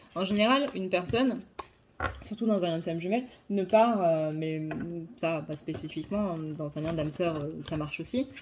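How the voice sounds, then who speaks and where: A woman speaks at a moderate pace with a fairly low pitch and lively intonation. Her speech has long, frequent pauses. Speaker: psychic card reader. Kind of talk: tarot reading monologue; casual channel update. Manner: hesitant with fillers.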